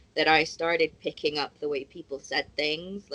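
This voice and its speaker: A woman speaks with a very deep, low pitch and a strong American accent. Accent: pretty thick American. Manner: casual, conversational.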